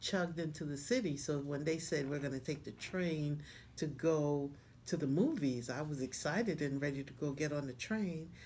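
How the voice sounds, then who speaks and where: The speaker talks at a moderate pace with ordinary pitch variation. Room echo can be heard around the voice. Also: woman. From Panama, Colón. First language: Spanish. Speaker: interviewee sharing life story. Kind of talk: interview.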